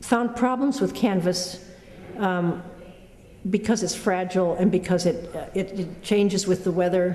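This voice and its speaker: Noticeable background noise sits behind a woman with an American accent and a medium pitch. She speaks at a fairly slow pace with fairly even intonation. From US Pacific Northwest, Tacoma, Washington. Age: 70s. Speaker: painter. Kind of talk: interview monologue about her work. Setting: artist's studio. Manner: halting, many fillers and restarts.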